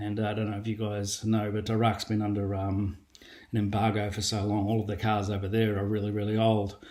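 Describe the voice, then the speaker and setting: A man's fairly low, dark, mellow voice with an Australian accent, fairly quick in pace and monotone, flat in intonation. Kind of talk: testimony. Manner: casual, with many fillers (um, uh).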